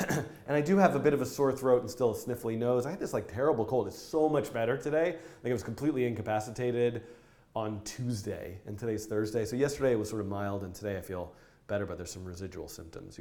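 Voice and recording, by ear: In a raspy, gravelly put-on character voice, a man talks at a very fast pace and medium pitch with lively intonation.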